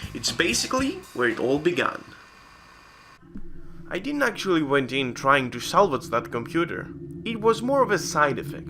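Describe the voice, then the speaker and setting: Very wide pitch swings mark this speech with a non-native accent. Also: man. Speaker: retro PC hardware hobbyist. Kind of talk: casual talk to camera. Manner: awkward.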